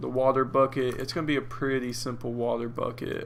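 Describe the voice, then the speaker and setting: A man's voice with audible room echo. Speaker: indie game developer. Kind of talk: live-streamed coding tutorial. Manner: hesitant, many fillers.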